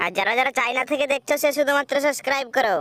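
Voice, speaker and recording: A woman puts on a cartoonish character voice pitched high. She races along at a very fast pace. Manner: casual, dismissive.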